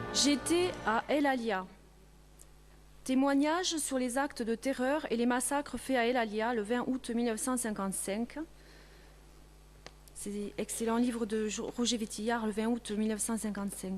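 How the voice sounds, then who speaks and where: A woman's fairly high voice at a fairly slow pace, with ordinary pitch variation and long, frequent pauses. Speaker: reader. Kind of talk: reading of a witness testimony.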